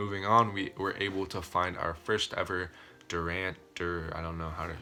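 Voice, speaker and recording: A man with a very deep, low pitch talks over noticeable background noise. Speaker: gaming YouTuber. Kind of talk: casual video commentary. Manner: fast; enthusiastic.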